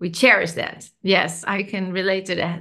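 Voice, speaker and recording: A woman with a non-native accent speaks at a fairly slow pace. Her voice is medium in pitch, with a bright, sharp tone. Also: quiet background. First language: Dutch. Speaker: podcast host. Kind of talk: interview.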